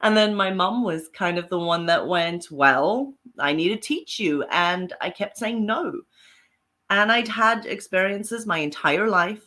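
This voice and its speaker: Speaking fairly slowly with lively intonation, a woman with a South African accent uses a medium pitch. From Zimbabwe and South Africa. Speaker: paranormal author and psychic. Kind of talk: interview guest.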